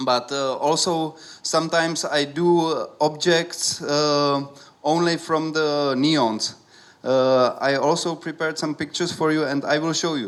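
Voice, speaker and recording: A man talks at a fairly slow pace with a Czech accent. His voice sits at a fairly high pitch. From Czech Republic, Prague. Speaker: artist. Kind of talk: talk to an audience. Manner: halting, many fillers. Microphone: speaking without holding the microphone.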